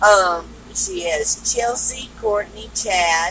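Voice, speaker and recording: Noticeable background noise accompanies a woman talking with a Southern US accent. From US South (Texas and Georgia). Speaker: truck driver and storyteller. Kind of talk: casual storytelling vlog.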